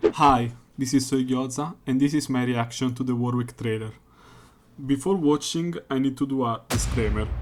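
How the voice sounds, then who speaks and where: Speech comes at a moderate rate. It is delivered with a non-native accent. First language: not English. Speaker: gaming YouTuber. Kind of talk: unscripted video reaction. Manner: halting, many fillers.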